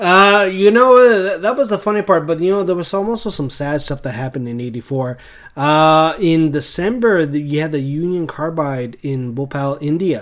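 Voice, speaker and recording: A man with an American accent talks at a moderate pace with hardly any pauses, in a normal speaking voice. His pitch is fairly high, his intonation lively, and the recording very clean with a silent background. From eastern Canada, rural area along the US border. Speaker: podcast co-host. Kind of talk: casual chat.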